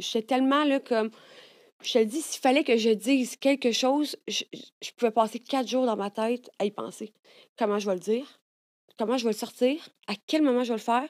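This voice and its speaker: A woman with a Quebec accent, fairly high in pitch, with ordinary pitch variation, a moderate pace and a quiet background. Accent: Québécois French. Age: 30s. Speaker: content creator. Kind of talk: casual chat. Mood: candid, emotional personal stories. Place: studio. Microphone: studio mic.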